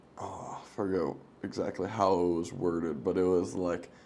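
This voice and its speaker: The speaker has a dark, mellow tone and a fairly slow pace, with audible room echo in the recording. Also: man. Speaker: podcast host. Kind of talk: casual chat.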